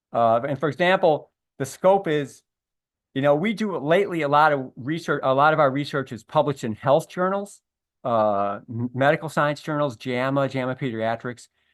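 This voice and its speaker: A man speaks with a fairly high pitch and ordinary pitch variation. The background is quiet. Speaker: early childhood education researcher. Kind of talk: webinar presentation. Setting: online webinar. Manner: fast; halting, with fillers and self-corrections.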